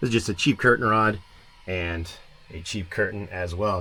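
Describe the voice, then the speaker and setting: Quietly and at a fairly quick pace, a man talks in a fairly low pitch. His tone is bright and sharp, with ordinary pitch variation. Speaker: van life vlogger. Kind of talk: casual van tour vlog. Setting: outdoors at a campground. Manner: quiet, keeping voice down.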